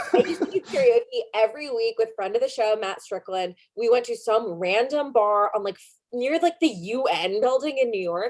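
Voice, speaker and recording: There is a woman talking at a moderate pace. Her intonation is lively. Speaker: comedy podcast co-host. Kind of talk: casual chat. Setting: live-streamed video show. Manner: hesitant, many fillers.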